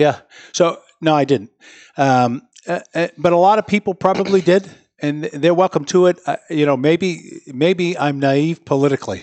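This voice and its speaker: A man's fairly high-pitched, unremarkable speaking voice, with ordinary pitch variation at a moderate pace. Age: 60s. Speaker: mayor. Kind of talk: interview. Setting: studio with live audience.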